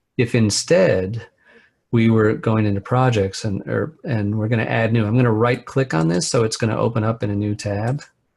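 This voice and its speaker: Somewhat breathy, a man talks at a moderate pace on a very clean recording with a silent background. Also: medium pitch for a man, ordinary pitch variation. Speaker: web developer, trainer. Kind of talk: tutorial.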